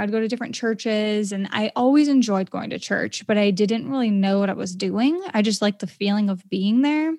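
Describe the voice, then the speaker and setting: This is a normal speaking voice with an American accent at a moderate pace. The recording is very clean, with a silent background. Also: woman. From Maine, US. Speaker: podcaster and entrepreneur. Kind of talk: casual interview.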